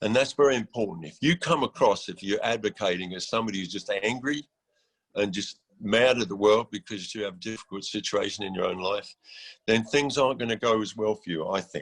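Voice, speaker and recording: Speaking at a fairly quick pace with an English accent, a man uses a medium pitch and ordinary pitch variation. The sound is dry and close with no echo, over a quiet background. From England. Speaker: executive director of a mental health housing nonprofit. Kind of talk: conference panel talk. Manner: hesitant, many fillers and repetitions.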